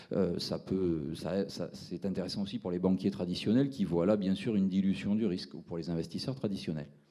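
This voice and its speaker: Very deep, low male voice in a Toulouse accent, dark and mellow in tone, at a fairly quick pace with hardly any pauses and ordinary pitch variation. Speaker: fintech entrepreneur presenting his platform. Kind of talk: round-table presentation. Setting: seminar with audience. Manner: hesitant, many fillers.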